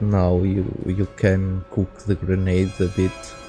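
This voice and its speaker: A man with a Portuguese accent, very deep and low in pitch, very slow and tired-sounding, with music in the background. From Portugal. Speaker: architect and firefighter. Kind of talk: casual video game review to camera. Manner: slow, tired-sounding.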